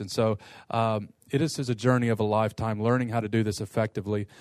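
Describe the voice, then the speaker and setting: A man with an American accent, fairly low in pitch, monotone and flat in intonation, at a very fast pace over a quiet background. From US Midwest (Detroit) and Eastern Kentucky. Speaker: pastor and seminary professor. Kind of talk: lecture to pastors.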